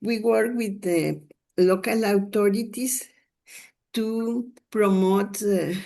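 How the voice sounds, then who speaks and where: A woman with a medium pitch and a dark, mellow tone speaks at a very slow pace. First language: Spanish. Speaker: consumer health advocate. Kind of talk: webinar presentation. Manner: halting.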